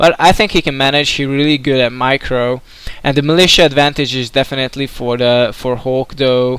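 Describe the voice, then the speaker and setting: A man with a Hungarian accent speaks at a moderate pace and medium pitch, his intonation fairly even. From Hungary. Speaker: video game commentator. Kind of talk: live commentary. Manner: hesitant, many filler words.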